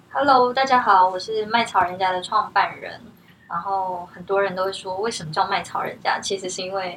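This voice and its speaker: Against noticeable background noise, a woman with a medium pitch speaks at a moderate pace with ordinary pitch variation and big swings in loudness. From Taiwan. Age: 30s. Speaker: herbal tea brand founder. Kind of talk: interview.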